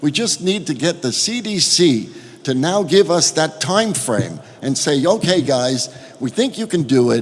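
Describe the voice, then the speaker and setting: Amid noticeable background noise, a man with a New York accent speaks at a fairly slow pace and a fairly high pitch, his voice making very wide pitch swings. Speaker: cruise line executive. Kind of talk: panel statement at roundtable.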